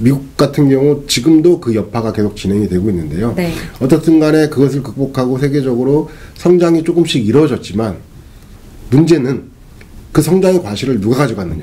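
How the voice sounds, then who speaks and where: A man has an unremarkable speaking voice at a medium pitch. He talks at a fairly quick pace with lively intonation. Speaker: economist interviewed guest. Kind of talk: interview answer.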